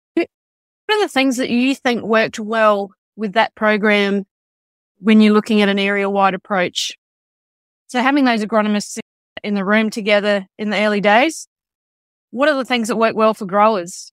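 A voice with an Australian accent speaks at a moderate pace with fairly even intonation and long, frequent pauses, in a dry, close sound with no echo. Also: woman, fairly high pitch for a woman. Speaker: agriculture podcast host. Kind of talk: interview.

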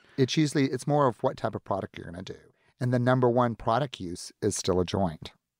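A man with an American accent, very fast and lively in intonation, with big swings in loudness, on a very clean recording with a silent background. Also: medium pitch for a man. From US Deep South, Florida panhandle near Pensacola. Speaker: entrepreneur and philanthropist. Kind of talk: casual interview. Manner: flamboyant, witty.

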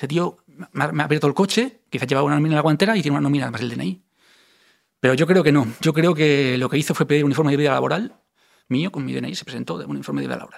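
Rushing at a very fast pace, a man speaks in a fairly high-pitched voice with vocal fry and ordinary pitch variation. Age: 40s. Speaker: identity theft victim. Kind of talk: testimony. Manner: animated.

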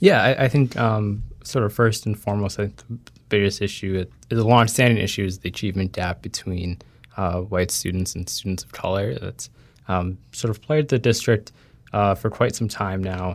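On a very clean recording with a silent background, the talking has ordinary pitch variation and a moderate pace. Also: man, fairly low pitch for a man. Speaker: education reporter. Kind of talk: explanatory interview answers. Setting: studio. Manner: hesitant, filler-heavy.

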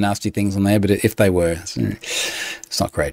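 A man with an Australian accent and a fairly low pitch. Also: very clean recording, silent background. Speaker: podcast host. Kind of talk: casual chat. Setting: home. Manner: informal, chatty.

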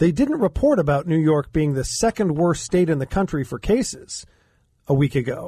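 A man with an American accent has an unremarkable speaking voice, fairly high in pitch, with ordinary pitch variation and a moderate pace. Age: 60s. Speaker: attorney, educator and former mayor. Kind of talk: talk radio discussion. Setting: studio.

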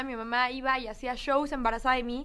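A woman speaks in a raised, projected voice at a fairly quick pace. Her pitch is high and her tone bright and sharp. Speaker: singer. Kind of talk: radio interview. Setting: radio studio.

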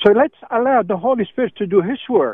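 A man speaks with lively intonation. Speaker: radio caller. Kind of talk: call-in comment. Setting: phone call. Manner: insistent, talks over host.

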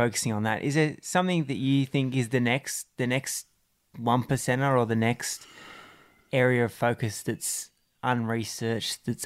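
On a very clean recording with a silent background, a man with an ordinary speaking voice talks at a moderate pace, medium pitch and ordinary pitch variation. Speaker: podcast host. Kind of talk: casual interview.

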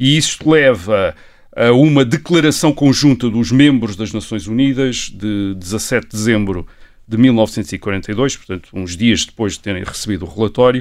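Lively in intonation and fairly slow in pace, a man speaks at medium pitch on a very clean recording with a silent background. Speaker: historian. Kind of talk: podcast conversation, explanatory. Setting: studio, sitting across from co-host. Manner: hesitant, many fillers.

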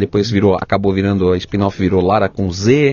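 A man at a moderate pace with a fairly low pitch, fairly even intonation and a plain, everyday voice. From São Paulo state, Brazil (Ribeirão Pires). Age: 40s. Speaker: television and film director. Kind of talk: interview conversation.

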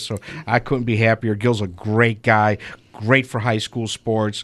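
Medium in pitch, a man speaks at a moderate pace in a monotone, flat intonation. The recording is very clean, with a silent background. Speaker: radio show host. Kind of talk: casual radio sports talk. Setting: radio studio.

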